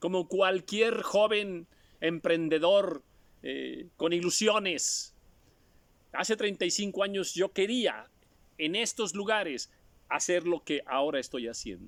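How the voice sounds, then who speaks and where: With long, frequent pauses, a man talks very slowly in a high voice with ordinary pitch variation. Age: 60s. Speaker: preacher. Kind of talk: sermon.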